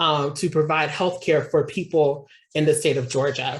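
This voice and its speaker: A woman with an American accent speaks at a moderate pace in a very deep, low pitch, her voice somewhat breathy. Her intonation stays fairly even in a very clean recording with a silent background. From Kansas City, Missouri. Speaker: nonprofit operations officer and activist. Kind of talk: sermon-style talk to a congregation.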